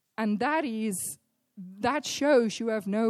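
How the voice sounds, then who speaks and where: A woman with a plain, everyday voice, fairly high in pitch with ordinary variation, at a fairly slow pace, in a dry, close sound with no echo and a very clean recording with a silent background. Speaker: church leader. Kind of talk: sermon introduction. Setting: church.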